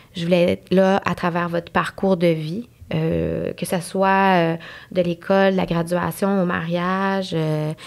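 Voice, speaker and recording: Against a silent background in a very clean recording, a woman speaks very slowly in a fairly low voice with monotone, flat intonation. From Montreal anglophone community, Quebec. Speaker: nurse. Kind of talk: podcast interview. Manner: hesitant, many fillers.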